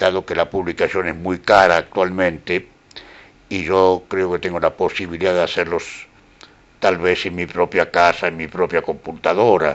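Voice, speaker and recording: This man has a very deep, low voice and a monotone, flat delivery. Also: moderate pace. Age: 80s+. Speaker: poet and painter. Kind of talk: interview.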